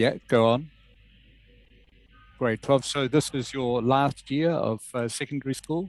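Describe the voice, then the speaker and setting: A man with a New Zealand accent speaks at a fairly slow pace with long, frequent pauses. His intonation is fairly even, and music plays in the background. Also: medium pitch for a man. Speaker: English teacher. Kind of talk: online English lesson.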